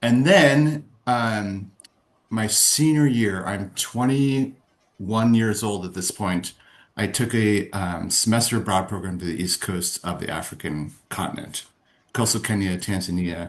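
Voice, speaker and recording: Against a quiet background, a man with an American accent has a plain, everyday voice at a fairly low pitch, with ordinary pitch variation and a fairly slow pace. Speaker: philanthropy and conference organizer. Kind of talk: interview.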